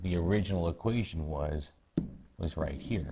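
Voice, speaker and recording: A man speaking at a fairly slow pace, with lively intonation. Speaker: math teacher. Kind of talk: tutorial.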